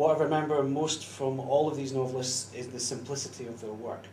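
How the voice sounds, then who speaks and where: Amid noticeable background noise and audible room echo, a man with a Scottish accent talks at a fairly quick pace and a medium pitch with fairly even intonation. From Scotland. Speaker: fan interviewer. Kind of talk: interview questions.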